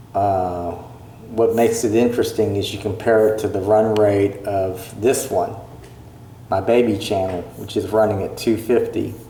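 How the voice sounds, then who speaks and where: Over noticeable background noise and audible room echo, a man talks in a fairly low, monotone, flat voice. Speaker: YouTuber vlogger. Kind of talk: casual vlog commentary on channel analytics. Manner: slow; hesitant, many fillers.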